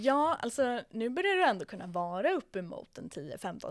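A woman speaks. Her pitch swings very widely. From Sweden, Södermanland countryside. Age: 20s. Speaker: real estate agent. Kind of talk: interview. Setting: after a viewing in an apartment.

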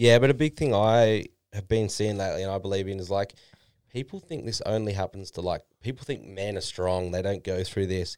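A man with an Australian accent talks at a fairly quick pace and a fairly low pitch. The recording is very clean, with a silent background. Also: ordinary pitch variation. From Australia, Melbourne. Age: 20s. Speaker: online fitness coach. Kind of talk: casual chat.

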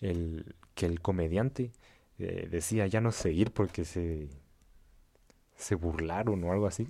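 In a very clean recording with a silent background, a man speaks with a very deep, low pitch and a dark, mellow tone. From Central America. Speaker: podcast co-host and editor. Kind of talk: casual chat.

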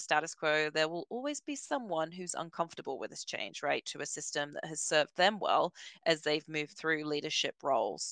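A woman with a very deep, low voice is recorded with a dry, close sound and no echo. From Britain. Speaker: learning and development director. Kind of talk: interview. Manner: hesitant with fillers.

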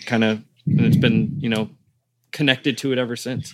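A man with a General American accent has a normal speaking voice at a medium pitch. He talks at a fairly quick pace with fairly even intonation. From Australia. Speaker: wrestling podcaster. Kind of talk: casual chat. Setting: streaming studio.

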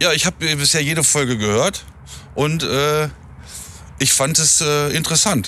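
A man talks at a moderate pace in a fairly high pitch, with ordinary pitch variation and very even loudness. Long pauses come often, over noticeable background noise. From northern Germany, near Hameln. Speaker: hospitality professional. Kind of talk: casual interview. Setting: outdoors near an airport.

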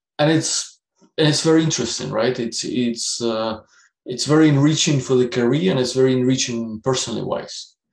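With a Russian accent, a man talks at medium pitch with ordinary pitch variation. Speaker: business executive. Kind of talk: interview. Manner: hesitant, many fillers.

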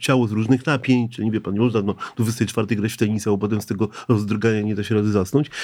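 In a very clean recording with a silent background, a man talks at a very fast pace in a dark, mellow tone. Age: 60s. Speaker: psychiatrist, sleep specialist. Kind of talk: interview. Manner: halting.

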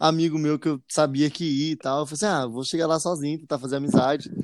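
On a very clean recording with a silent background, a man with a plain, everyday voice speaks at a fairly quick pace, fairly high in pitch with ordinary pitch variation. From Jacareí, São Paulo state, Brazil. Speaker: musician and podcast co-host. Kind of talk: casual chat.

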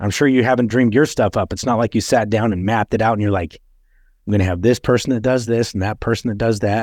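Against a quiet background, a man with an American accent speaks at a very fast pace and fairly low pitch with fairly even intonation, the sound dry and close with no echo. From Utah. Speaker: podcast host. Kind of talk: casual chat.

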